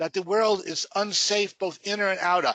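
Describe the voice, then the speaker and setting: A man's high-pitched, raised, projected voice with a bright, sharp tone, at a moderate pace, with a dry, close sound, no echo, and a quiet background. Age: 70s. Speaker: spiritual teacher. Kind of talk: webinar lecture. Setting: webinar.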